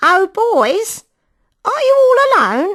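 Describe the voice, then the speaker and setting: A woman puts on a squeaky character voice at an extremely high pitch with very wide pitch swings. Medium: read story. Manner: wheedling, overfamiliar.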